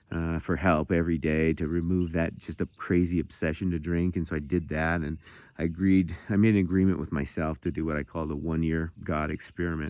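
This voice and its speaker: A man with an American accent speaks at a fairly quick pace in a very deep, low pitch, his intonation monotone and flat. The recording is very clean with a silent background. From Montana. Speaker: recovering addict sharing testimony. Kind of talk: testimony. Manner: fast; halting, repeating words.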